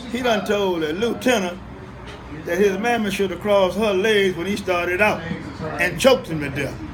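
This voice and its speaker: A man speaks at a high pitch. There is audible room echo and noticeable background noise. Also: ordinary pitch variation, moderate pace. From Mississippi, US South. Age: 80s+. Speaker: elder interviewee. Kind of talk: interview.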